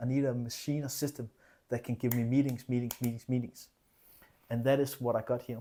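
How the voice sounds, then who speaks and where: A man's medium-pitched voice with a non-native accent, very fast in pace and flat and monotone in intonation. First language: not English. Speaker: fitness coach and business vlogger. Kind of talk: casual vlog monologue. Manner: hesitant, many fillers and repetitions.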